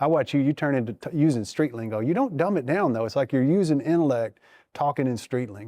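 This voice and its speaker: A man's dark, mellow voice with an American accent, very fast and lively in intonation, in a very clean recording with a silent background. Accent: Southern US, moderated. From small-town Tennessee. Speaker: podcast host. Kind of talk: casual chat.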